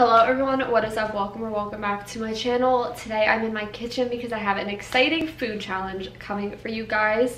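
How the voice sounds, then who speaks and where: A woman's voice amid light background noise and audible room echo. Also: fairly even intonation, fairly quick pace, hardly any pauses. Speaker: vlogger. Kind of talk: casual vlog chat. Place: kitchen. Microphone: camera far.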